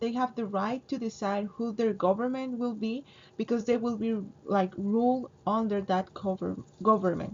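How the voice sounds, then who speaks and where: A somewhat breathy woman's voice, fairly high in pitch, with fairly even intonation at a moderate pace. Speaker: student. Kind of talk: class presentation. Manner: halting, with fillers and self-corrections.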